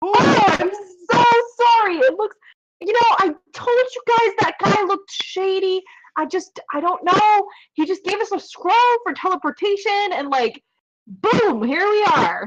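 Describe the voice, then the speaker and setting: In a put-on character voice, a woman squeaks at an extremely high pitch. She moves at a moderate pace with lively intonation. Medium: actual play. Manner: rambling, flustered.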